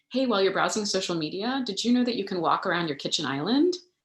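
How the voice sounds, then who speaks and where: Here a woman speaks with an American accent. Her pitch variation is ordinary. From Texas, El Paso. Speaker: physician. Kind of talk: Q&A talk. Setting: livestream. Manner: fast.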